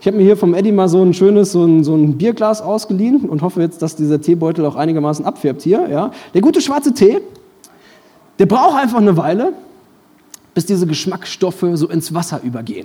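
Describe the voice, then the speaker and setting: With an animated tone and lively intonation, a high-pitched man talks at a fairly quick pace broken by long, frequent pauses. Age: 20s. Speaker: pastor. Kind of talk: sermon.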